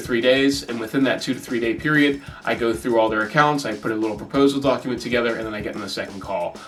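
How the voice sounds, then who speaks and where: Barely pausing, a man races along at a very fast pace and medium pitch, with music in the background and audible room echo. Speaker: marketing agency owner. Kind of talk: casual vlog talk.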